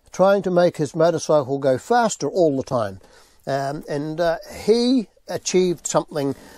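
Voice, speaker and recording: Recorded very cleanly with a silent background and a dry, close sound with no echo, a man with a New Zealand accent speaks at a moderate pace in a fairly high pitch, his dark, mellow tone carrying lively intonation. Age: 70s. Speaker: interviewee, family friend of racer. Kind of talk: interview.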